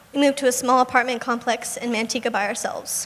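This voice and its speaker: A soft-spoken woman's high voice amid noticeable background noise. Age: young. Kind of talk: inspirational speech. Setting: live event stage.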